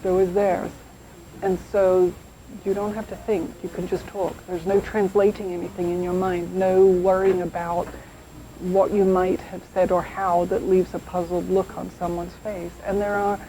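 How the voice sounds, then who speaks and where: A woman speaks with an English accent in a flat monotone. There is noticeable background noise. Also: medium pitch for a woman, moderate pace. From England. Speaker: English expatriate. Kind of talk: interview.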